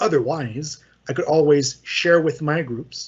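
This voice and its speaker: The man's voice is somewhat breathy. His pitch is fairly high. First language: French. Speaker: software trainer. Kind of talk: tutorial. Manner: casual, hesitant with fillers.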